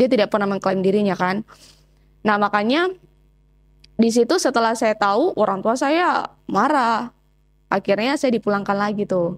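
Over a quiet background, a woman speaks at a moderate pace with long, frequent pauses. Her fairly high voice has ordinary pitch variation and very even loudness. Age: 20s. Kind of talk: testimony interview. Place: home room. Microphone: lapel.

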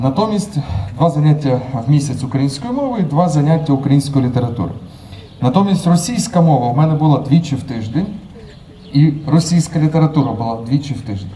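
A man talks at a fairly quick pace with lively intonation. Light background noise can be heard. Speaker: conference speaker. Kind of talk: public talk. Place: street. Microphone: handheld.

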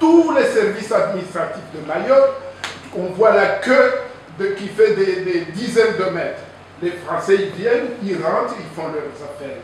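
The speech moves at a fairly slow pace amid strong room echo and light background noise. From Comoros, Anjouan. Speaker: audience member at public debate. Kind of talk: public debate intervention. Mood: indignant, argumentative. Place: meeting room.

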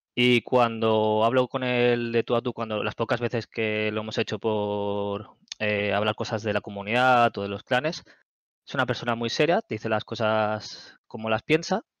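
Over a quiet background, a man talks at a moderate pace with fairly even intonation in a dry sound with no echo. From Barcelona area, Spain; Spain. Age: 30s. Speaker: gamer and community moderator; gaming streamer. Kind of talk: casual interview; casual conversation. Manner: hesitant, many fillers. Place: home room. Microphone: headset.

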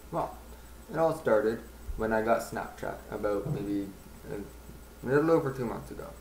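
A man talks at a moderate pace, leaving long, frequent pauses, and his loudness swings widely. Light background noise and audible room echo surround him. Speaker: vlogger. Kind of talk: casual talk to camera. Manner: hesitant, stuttering. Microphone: webcam.

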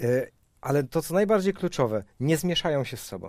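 With lively intonation and a moderate pace, a man talks in a dry sound with no echo against a quiet background. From Poland. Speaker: pastor, show host. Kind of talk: panel discussion. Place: studio. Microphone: headset.

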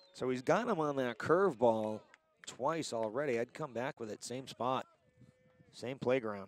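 A man speaks in a dry sound with no echo. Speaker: baseball play-by-play announcer. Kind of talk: live sports commentary, play-by-play. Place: stadium.

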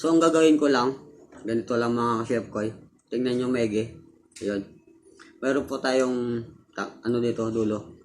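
Animated tone from a man at medium pitch and a moderate pace. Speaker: cooking video creator. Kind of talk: tutorial. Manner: casual, animated.

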